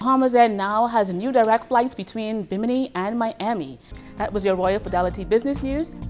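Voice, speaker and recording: Music plays in the background as a woman with a fairly high-pitched voice talks at a fairly quick pace. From Bahamas. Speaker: news reporter. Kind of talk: business news bulletin.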